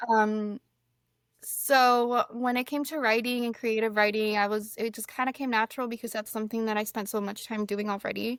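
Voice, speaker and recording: Against a very clean recording with a silent background, a woman with a Spanish accent speaks at a moderate pace in a fairly high pitch with monotone, flat intonation. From Mexico. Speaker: fantasy author. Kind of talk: casual podcast interview.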